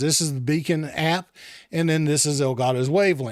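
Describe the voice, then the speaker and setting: Keeping a moderate pace, a man talks in a plain, everyday voice pitched fairly high. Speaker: tech reviewer. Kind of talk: tutorial. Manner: casual, with many fillers.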